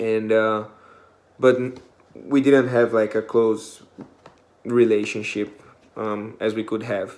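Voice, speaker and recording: Speaking in a non-native accent, a man at medium pitch talks fairly slowly with a flat, monotone delivery. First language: not English. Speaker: student volunteer. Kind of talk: class presentation. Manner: hesitant, many fillers.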